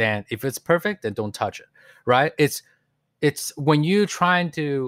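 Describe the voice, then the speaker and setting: On a very clean recording with a silent background, a man with a Mandarin accent speaks at a moderate pace with lively intonation. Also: dry, close sound with no echo. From New York with childhood in Taiwan. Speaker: music producer. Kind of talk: casual interview.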